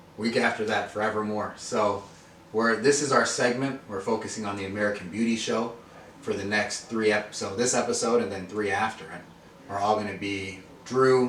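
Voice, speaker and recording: Over noticeable background noise and audible room echo, a man talks at a moderate pace. His pitch is fairly low and his intonation fairly even. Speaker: podcast host. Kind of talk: casual chat. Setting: beauty trade show. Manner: stuttering at times.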